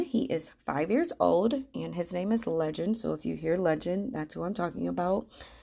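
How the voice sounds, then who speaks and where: Against a quiet background, a woman with a fairly low pitch uses lively intonation and vocal fry. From Michigan, US Midwest. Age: 30s. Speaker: podcast host and money coach. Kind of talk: casual monologue.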